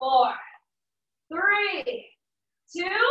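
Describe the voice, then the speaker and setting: A woman's raised, projected voice with a bright, sharp tone and audible room echo. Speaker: fitness instructor. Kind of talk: workout class cueing. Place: home room. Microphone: camera far.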